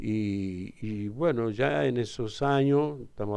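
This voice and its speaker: A man's voice with a dark, mellow tone. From Argentina, Tucumán (Alderete). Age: 70s. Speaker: father of a crime victim, interviewee. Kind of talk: radio interview.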